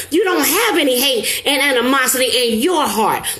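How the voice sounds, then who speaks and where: A woman speaks in an animated tone at a moderate pace, with audible room echo and noticeable background noise. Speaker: motivational live streamer. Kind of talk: live stream motivational talk. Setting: live stream.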